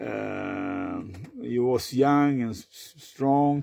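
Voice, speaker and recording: With a Swedish accent, a man speaks at a medium pitch with a dark, mellow tone in a dry, close sound with no echo. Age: 50s. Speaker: vlogger. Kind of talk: personal monologue. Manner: halting, many fillers; repetitive stuttering.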